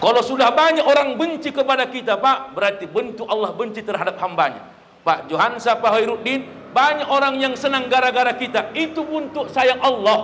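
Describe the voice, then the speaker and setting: An extremely high-pitched man speaks in an animated tone at a fairly quick pace, with ordinary pitch variation. The room echo is audible and the background noise noticeable. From North Sumatra, Labuhan Batu. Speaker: Islamic preacher. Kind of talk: sermon at halal bihalal event. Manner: animated, humorous.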